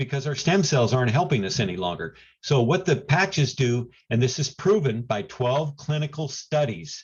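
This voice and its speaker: Somewhat breathy and fairly high-pitched, a man speaks at a moderate pace with lively intonation and big swings in loudness. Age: 70s. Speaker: health product presenter. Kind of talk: sales pitch. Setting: video call.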